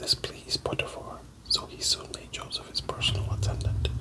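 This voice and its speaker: A man is whispering at a moderate pace. Noticeable background noise can be heard. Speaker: Bible reader / ASMR channel host. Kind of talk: soft-spoken Bible reading for sleep. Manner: whispered, soft-spoken.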